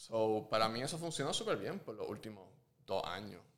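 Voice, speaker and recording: A man's fairly low voice at a moderate pace, with lively intonation. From Puerto Rico. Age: 30s. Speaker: visual artist and muralist. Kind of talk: casual interview. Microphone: muffled by face mask.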